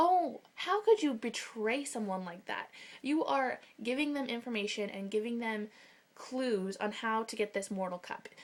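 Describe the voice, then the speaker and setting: Animated and with lively intonation, a woman with a fairly high voice speaks at a moderate pace. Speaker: book vlogger. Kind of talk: casual book discussion vlog. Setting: bedroom.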